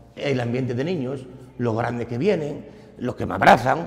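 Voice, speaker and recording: The man's medium-pitched voice keeps a moderate pace while noticeable background noise plays beneath it. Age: 60s. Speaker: football club volunteer. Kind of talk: interview. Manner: halting.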